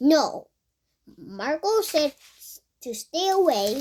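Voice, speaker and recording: A woman mumbles very slowly in a high, put-on character voice. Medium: read story. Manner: mumbling, skeptical.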